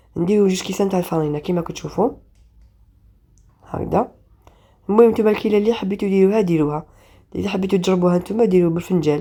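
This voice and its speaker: A woman talks very fast at a medium pitch with ordinary pitch variation. She leaves long, frequent pauses. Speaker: cooking channel host. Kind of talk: cooking tutorial. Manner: halting.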